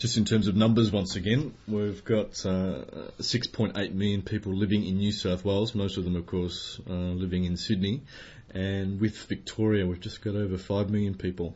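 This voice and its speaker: With an Australian accent, a man talks in a fairly low pitch, his voice somewhat breathy and his intonation fairly even. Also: moderate pace. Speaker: language teacher. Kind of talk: educational podcast conversation. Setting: classroom.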